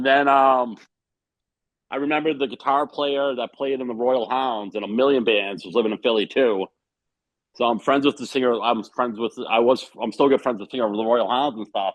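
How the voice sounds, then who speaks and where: Medium in pitch and with a Boston accent, a man talks at a fairly quick pace with fairly even intonation. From Boston, Massachusetts. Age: 40s. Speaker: punk drummer. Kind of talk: casual interview chat.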